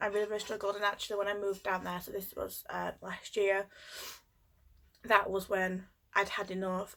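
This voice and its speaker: In a Yorkshire accent, a woman speaks at a medium pitch with monotone, flat intonation. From Yorkshire, England. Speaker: mental health nurse. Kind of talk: casual talk to camera. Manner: hesitant, many fillers.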